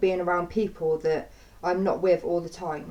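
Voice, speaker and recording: With an English accent, a woman talks at a moderate pace in a shaky, fairly low voice with monotone, flat intonation. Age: 20s. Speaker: vlogger. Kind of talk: personal testimony. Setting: home. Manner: halting; shaky voice.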